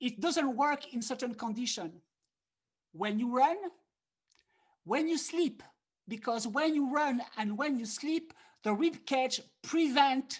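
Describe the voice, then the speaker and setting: A woman with a French accent speaks very slowly at a high pitch, her intonation lively, with long, frequent pauses. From France. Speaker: harmonica player and teacher. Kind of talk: online workshop lecture. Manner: animated.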